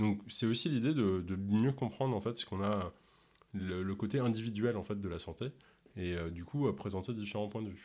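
On a very clean recording with a silent background, a man with fairly low pitch speaks at a moderate pace with ordinary pitch variation. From Ontario, Canada. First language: English (speaking French). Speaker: podcast host and health coach. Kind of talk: interview. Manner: hesitant, many filler words.

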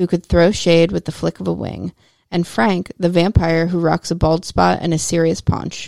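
A woman's plain, everyday voice, fairly low in pitch, at a moderate pace, with a dry, close sound with no echo and a very clean recording with a silent background. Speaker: podcast host. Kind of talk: bedtime story narration. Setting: home studio. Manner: playful storytelling, lilting.

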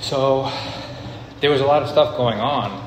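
Fairly even intonation and a fairly slow pace come through noticeable background noise and audible room echo. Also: man. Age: 20s. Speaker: video business owner sharing personal story. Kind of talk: personal monologue. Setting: on an elliptical machine.

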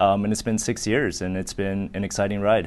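A man with a normal speaking voice and an American accent speaks at a moderate pace and a fairly low pitch against a quiet background. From southern California (Orange County). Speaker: biotech company executive. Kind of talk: interview. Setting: studio with small live audience.

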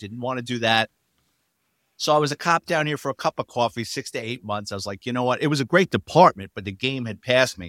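Someone with a New York accent talks at a very fast pace with ordinary pitch variation and big swings in loudness, in a dry, close sound with no echo on a very clean recording with a silent background. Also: man, medium pitch for a man. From New York City, the Bronx. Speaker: retired police detective. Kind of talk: interview storytelling.

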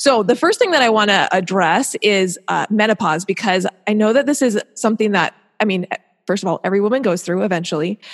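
In an unremarkable speaking voice, a woman talks at a fairly quick pace with medium pitch and ordinary pitch variation, the sound dry and close with no echo. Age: 30s. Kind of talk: casual interview chat.

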